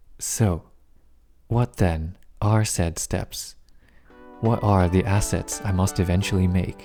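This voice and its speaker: Music plays in the background as a man with a very deep, low pitch speaks at a very slow pace. His loudness stays very even, and his pauses are long and frequent. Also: fairly even intonation. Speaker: indie game developer. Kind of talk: casual talk to camera.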